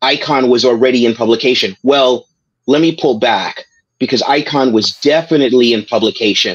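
The speaker has an American accent and keeps a moderate pace. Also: man. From Brooklyn, New York. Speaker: comics writer and editor. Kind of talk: interview. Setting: video call. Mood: warm, reflective remembrance. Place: home room. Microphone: video call.

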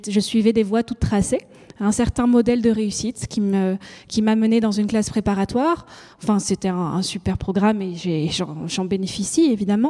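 A woman's dark, mellow tone at a moderate pace, with ordinary pitch variation against a quiet background. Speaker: panel debater. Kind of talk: panel discussion. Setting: stage with audience. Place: stage. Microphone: handheld.

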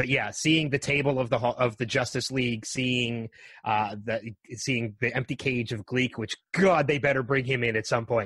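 In an ordinary speaking voice, a man at a medium pitch talks at a moderate pace with fairly even intonation, in a dry, close sound with no echo. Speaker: podcast host guest. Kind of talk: casual chat.

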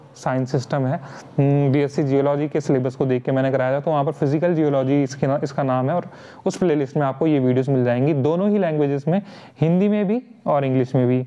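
A man speaks in a plain, everyday voice at a fairly high pitch. He keeps a moderate pace, very even loudness, and fairly even intonation. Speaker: online tutor. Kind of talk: tutorial. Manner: casual, frequent fillers.

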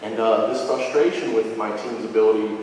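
A man speaks at a moderate pace with fairly even intonation, his voice carrying strong room echo over light background noise. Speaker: storyteller. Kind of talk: live storytelling performance. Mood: humorous, self-deprecating. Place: hall.

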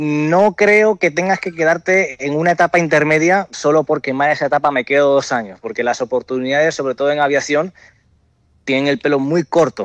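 The sound is dry and close, with no echo. A man talks at a fairly quick pace with ordinary pitch variation. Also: fairly high pitch for a man. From Dominican Republic. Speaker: airline pilot. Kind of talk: interview.

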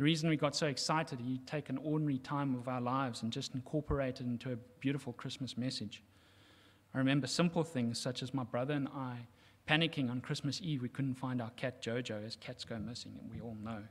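A man's medium-pitched voice at a very fast pace, with fairly even intonation. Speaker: son of the deceased. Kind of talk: eulogy. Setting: church. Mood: warm, fond, somber. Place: church.

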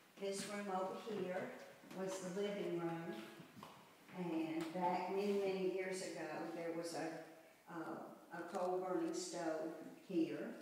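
Strong room echo fills the recording. Light background noise is also present. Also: woman. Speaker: mother giving a home tour. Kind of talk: nostalgic reminiscing house tour, recalling childhood memories. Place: home room. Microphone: camera far.

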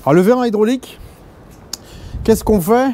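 Ordinary pitch variation in a male voice. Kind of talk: tutorial. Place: garage.

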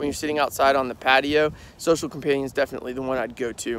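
A man talks over noticeable background noise, with a dry sound and no echo. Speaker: beer vlogger. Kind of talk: casual vlog chat. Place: open country. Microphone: phone near.

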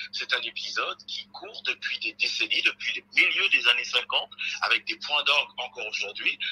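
Faint music sits behind a man who speaks at a moderate pace. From Republic of the Congo. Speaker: think tank researcher; guest. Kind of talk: televised debate. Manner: halting.

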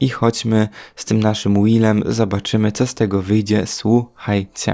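The recording is very clean, with a silent background. A man with a fairly low pitch and a dark, mellow tone talks at a moderate pace. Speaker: gaming youtuber. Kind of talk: gameplay commentary. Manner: animated.

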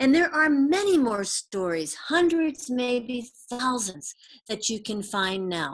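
The woman's pitch swings very widely. She speaks at a fairly slow pace. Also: quiet background. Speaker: presenter. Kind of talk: lecture. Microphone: webcam.

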